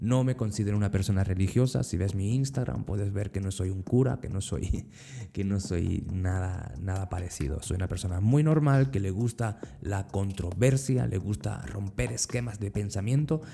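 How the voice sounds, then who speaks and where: A man speaks in a plain, everyday voice with a fairly low pitch. His pace is moderate and his intonation lively. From Andalusia, Spain (Motril). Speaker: podcast host. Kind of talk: casual greeting; motivational monologue.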